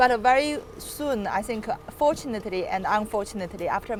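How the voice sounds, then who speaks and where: A woman speaks at medium pitch with ordinary pitch variation. Background noise is noticeable. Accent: Chinese. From China, Chengdu. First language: Chinese. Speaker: property developer. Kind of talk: casual interview.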